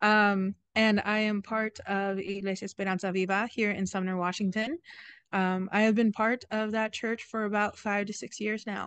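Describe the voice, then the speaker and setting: At a moderate pace, a woman speaks with monotone, flat intonation in dry sound with no echo. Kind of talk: interview answer. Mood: warm, friendly. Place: garden. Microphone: video call.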